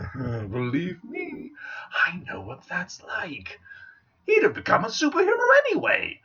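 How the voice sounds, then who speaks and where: Someone uses a put-on character voice at a moderate pace, leaving long, frequent pauses. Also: man. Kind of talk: comic villain monologue. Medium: solo performance. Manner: theatrical, mocking, wordplay-laden.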